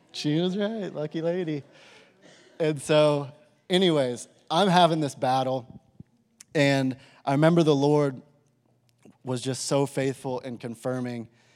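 A man with an American accent talks at a fairly slow pace, leaving long, frequent pauses. His pitch is fairly high, with ordinary pitch variation. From Texas, Amarillo. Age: 30s. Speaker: pastor. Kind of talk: sermon.

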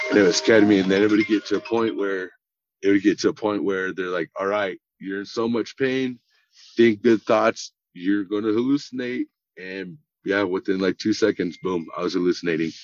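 In an unremarkable speaking voice, a man talks at a moderate pace and fairly low pitch with fairly even intonation, recorded dry and close with no echo. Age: 30s. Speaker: burn survivor. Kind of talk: interview.

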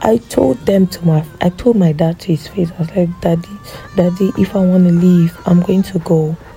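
Over music in the background, a woman talks with fairly low pitch and fairly even intonation. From Cameroon. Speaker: podcast host, content creator. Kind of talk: casual monologue.

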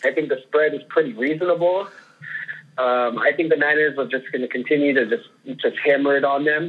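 This man has a plain, everyday voice with a fairly high pitch. He speaks at a fairly quick pace with ordinary pitch variation. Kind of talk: casual sports podcast chat.

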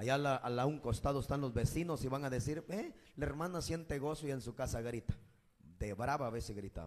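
In a Guatemalan accent, the voice sounds animated and moves at a fairly quick pace with ordinary pitch variation. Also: man, medium pitch for a man. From Guatemala, Escuintla. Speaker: evangelist, former gang member. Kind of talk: testimony; sermon.

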